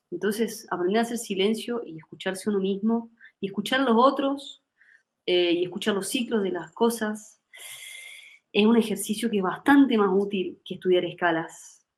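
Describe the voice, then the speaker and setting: This woman has an unremarkable speaking voice at a medium pitch. She keeps a moderate pace with ordinary pitch variation. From Argentina, Córdoba. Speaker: musician and singer. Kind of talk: interview.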